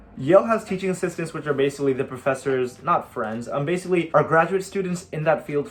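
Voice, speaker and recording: A man speaks at a very fast pace with ordinary pitch variation while music plays in the background. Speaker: college student YouTuber. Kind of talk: casual Q&A vlog.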